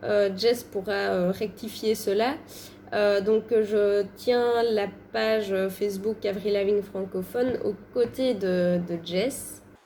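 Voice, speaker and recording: Her pace is very slow and her intonation fairly even. This woman's voice is medium in pitch with a dark, mellow tone. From Belgium. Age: 20s. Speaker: fan page co-admin. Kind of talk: casual interview chat. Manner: hesitant, many fillers.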